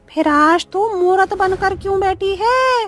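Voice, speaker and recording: A female-sounding, put-on character voice uses an extremely high pitch. Faint music plays in the background. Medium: read story.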